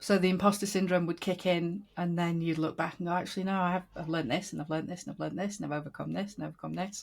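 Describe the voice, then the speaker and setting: Speaking very fast with hardly any pauses, a woman with a fairly low, somewhat breathy voice keeps her intonation fairly even. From Yorkshire, northern England. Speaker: podcast host. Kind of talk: interview conversation.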